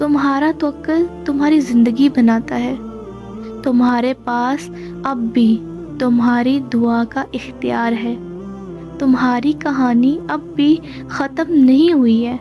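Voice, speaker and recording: Music plays behind a woman speaking in a high pitch. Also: lively intonation. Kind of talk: inspirational religious narration.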